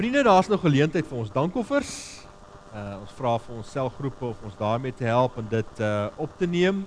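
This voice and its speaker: Big swings in loudness and very wide pitch swings over noticeable background noise. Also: man, medium pitch for a man. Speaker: pastor. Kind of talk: sermon.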